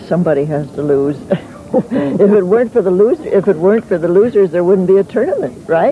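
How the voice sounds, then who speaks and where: Against noticeable background noise, a woman speaks at a fairly quick pace. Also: medium pitch for a woman. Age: 70s. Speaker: senior tennis champion. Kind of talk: interview.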